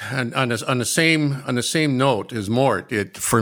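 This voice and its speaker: At a moderate pace, a man with an American accent uses an ordinary speaking voice and ordinary pitch variation. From Michigan, Detroit area. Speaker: retired welding teacher. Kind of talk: casual chat.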